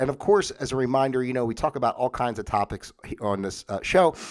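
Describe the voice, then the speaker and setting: This man's voice sits at a medium pitch. He talks at a fairly quick pace. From US Northeast. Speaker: talk show host. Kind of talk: livestream monologue. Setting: home livestream. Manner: casual, halting with many fillers.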